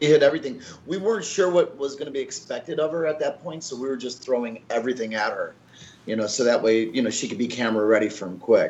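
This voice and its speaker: A very fast-paced man with lively intonation. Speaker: podcast guest. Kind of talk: interview answer. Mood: relaxed, reflective. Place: home room. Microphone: video call.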